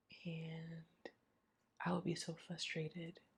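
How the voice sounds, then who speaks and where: A woman's somewhat breathy voice, fairly low in pitch. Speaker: grief vlogger. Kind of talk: personal testimony vlog.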